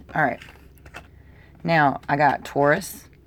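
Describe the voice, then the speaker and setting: A woman speaks in a very deep, low pitch. Her intonation is monotone and flat. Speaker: tarot reader. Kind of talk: tarot reading monologue. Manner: casual, filler-heavy.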